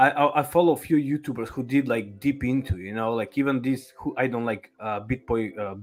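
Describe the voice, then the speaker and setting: A man's medium-pitched voice in a Macedonian accent, fairly quick with hardly any pauses and ordinary pitch variation, on a very clean recording with a silent background. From North Macedonia. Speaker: crypto YouTuber guest. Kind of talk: casual livestream chat. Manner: halting, searching for words.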